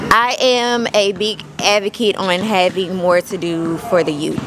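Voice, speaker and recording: A woman speaking at a fairly slow pace with ordinary pitch variation and faint music in the background. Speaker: interviewee. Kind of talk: interview answer. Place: street. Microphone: handheld.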